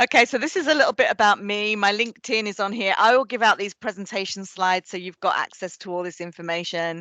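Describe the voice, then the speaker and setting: A woman's bright, sharp voice at medium pitch with an English accent, very fast with hardly any pauses, dry and close with no echo. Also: ordinary pitch variation. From England. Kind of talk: presentation. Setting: presentation.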